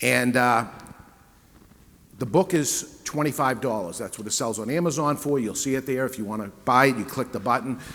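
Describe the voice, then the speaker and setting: At a fairly quick pace, a man with a New England accent speaks at medium pitch. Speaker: cigar retailer and panel moderator. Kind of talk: sales pitch. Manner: conversational.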